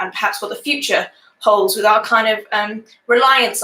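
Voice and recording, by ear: Reading aloud in a natural voice, with ordinary pitch variation and a quiet background.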